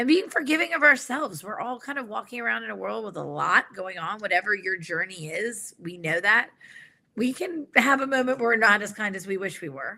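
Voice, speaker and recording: Speaking with an American accent, a woman at a medium pitch talks at a fairly quick pace, her bright, sharp tone marked by vocal fry, very wide pitch swings and big swings in loudness. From New York City. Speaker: organizational psychologist and executive coach. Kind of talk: conversational interview.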